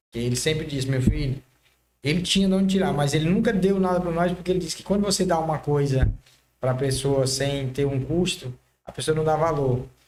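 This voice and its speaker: Fairly quick pace from a man with a normal speaking voice, fairly high pitch and ordinary pitch variation. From Maranhão, northeastern Brazil. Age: 30s. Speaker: car body painter, entrepreneur. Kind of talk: podcast interview.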